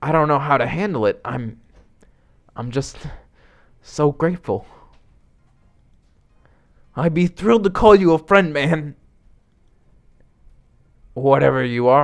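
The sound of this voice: A man's put-on character voice, fairly high-pitched, with vocal fry, lively intonation, a slow pace and long, frequent pauses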